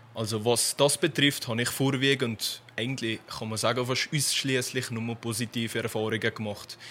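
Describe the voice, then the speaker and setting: A man with an unremarkable speaking voice and medium pitch talks at a fairly slow pace with fairly even intonation. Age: 20s. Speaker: police trainee. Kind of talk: radio interview. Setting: studio.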